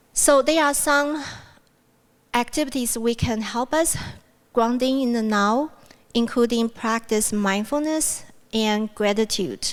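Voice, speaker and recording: A woman with a fairly high voice talks fairly slowly, with ordinary pitch variation. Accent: Mandarin. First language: Mandarin. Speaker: university speaker. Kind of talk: plenary talk.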